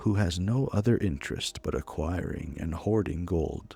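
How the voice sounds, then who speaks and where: A soft-spoken man with a very deep, low voice and a calm, soothing tone, talking at a fairly slow pace over music in the background. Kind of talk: reading an in-game book aloud as a story. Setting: recorded as gameplay commentary over a game. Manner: soft-spoken, calm, soothing.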